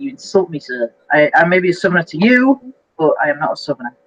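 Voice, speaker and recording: Very fast speech with very wide pitch swings comes through in a dry, close sound with no echo. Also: woman. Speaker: YouTuber live-streamer. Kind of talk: casual live stream chat. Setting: live stream video call. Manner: animated.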